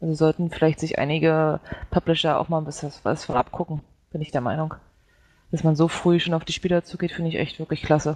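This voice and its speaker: A woman's very deep, low voice, monotone and flat, at a very fast pace, with a dry, close sound and no echo. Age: 20s. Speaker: gaming site intern. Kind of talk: casual chat.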